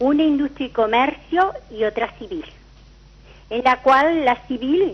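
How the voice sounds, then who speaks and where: A woman's high-pitched voice, lively in intonation and very slow in pace, over noticeable background noise. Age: 70s. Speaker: caller, retiree. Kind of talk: call-in question.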